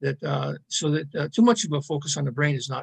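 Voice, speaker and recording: Talking at a very fast pace, a man uses a fairly high, somewhat breathy voice. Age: 70s. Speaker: philosophy enthusiast and self-styled philosophical journalist. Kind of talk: podcast interview. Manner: halting, many fillers and repeated words.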